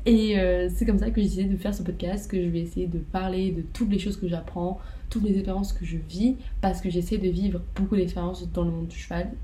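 A woman speaks fairly quickly, her voice carrying audible room echo amid noticeable background noise. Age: 20s. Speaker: student podcaster, horse owner. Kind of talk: casual monologue.

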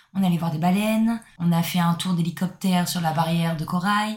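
Speaking at a fairly quick pace, a woman has a fairly low pitch and a somewhat breathy voice. Her intonation stays fairly even. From southern France. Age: 20s. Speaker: backpacker. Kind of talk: casual chat.

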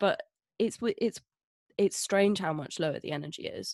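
A woman speaks with an English accent. Her intonation is lively. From Scotland. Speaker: drag king podcast co-host. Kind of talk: comedic casual chat. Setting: remote recording from home.

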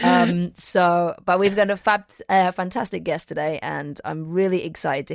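Speaking with a British accent, a woman keeps a moderate pace. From England. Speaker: podcast host and acting teacher. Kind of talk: casual chat.

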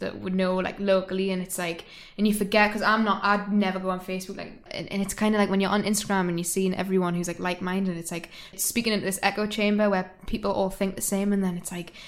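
A woman talks at a fast pace with few pauses. Her pitch moves very little. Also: medium pitch for a woman.

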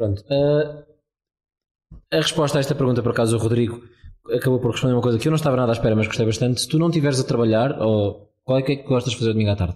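At a very fast pace, a man speaks at medium pitch with ordinary pitch variation and a somewhat breathy quality. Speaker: podcast host. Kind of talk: interview. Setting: hostel room in Lisbon.

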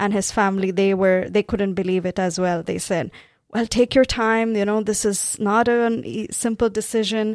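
On a very clean recording with a silent background, a woman speaks at a medium pitch. Her pace is moderate and her intonation fairly even. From South India, Tamil-speaking. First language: Tamil. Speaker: pastor. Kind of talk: testimony.

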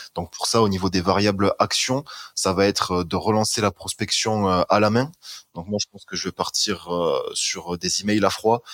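An unremarkable speaking voice from a man, fairly low in pitch, with fairly even intonation at a moderate pace. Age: 20s. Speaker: student and marketing agency owner. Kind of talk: casual chat.

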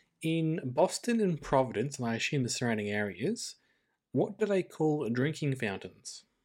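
With an Australian accent, a man talks at a moderate pace with very wide pitch swings. The recording is very clean, with a silent background. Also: fairly high pitch for a man. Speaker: podcast co-host. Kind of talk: casual chat.

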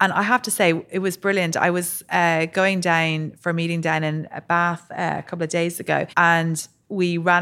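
Fairly even intonation with an Irish accent, on a very clean recording with a silent background. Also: woman. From Ireland. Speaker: entrepreneur, drinks brand co-founder. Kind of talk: interview. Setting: studio.

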